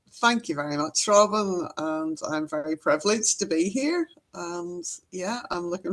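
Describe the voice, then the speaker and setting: Speaking at a moderate pace with a Northern Irish accent, a woman uses lively intonation and big swings in loudness. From Northern Ireland. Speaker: EFT trainer and healer. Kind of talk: interview.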